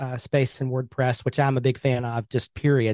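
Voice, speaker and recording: With an Alabama accent, a man of medium pitch talks at a fairly quick pace against a quiet background, the sound dry and close with no echo. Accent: Southern US (Alabama). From US South, Birmingham, Alabama. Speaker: web agency owner and WordPress coach. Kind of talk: casual interview chat.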